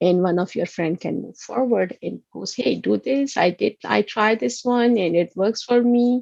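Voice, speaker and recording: With a Pakistani accent, a woman speaks fairly slowly at a medium pitch, using lively intonation and hardly any pauses. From Pakistan, Karachi. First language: Urdu. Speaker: college instructor. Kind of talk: online lecture. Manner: halting.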